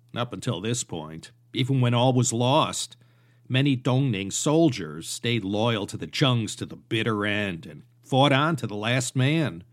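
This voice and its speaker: With a normal speaking voice at medium pitch, a man speaks with lively intonation on a very clean recording with a silent background. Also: fairly slow pace. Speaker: podcast host and history narrator. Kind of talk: history documentary narration, scripted-style lecture. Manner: measured, steady storytelling pace; conversational, wry and informal asides.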